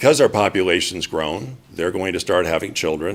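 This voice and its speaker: A man with a very deep, low voice talks at a fairly quick pace. His pitch varies in an ordinary way, and there is noticeable background noise. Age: 60s. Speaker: public commenter. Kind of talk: public testimony at council meeting. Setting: city council meeting.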